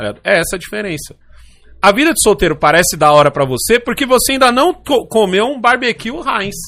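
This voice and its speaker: A man speaks at a high pitch with a bright, sharp tone. His pitch swings very wide and his pace is fairly quick. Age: 40s. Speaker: podcast host. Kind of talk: casual chat. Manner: animated.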